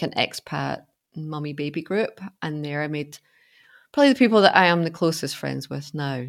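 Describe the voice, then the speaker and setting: Recorded very cleanly against a silent background, a woman with a Glasgow accent speaks at a very deep, low pitch. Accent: Scottish (Glasgow). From Scotland, Glasgow. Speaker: life coach. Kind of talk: interview.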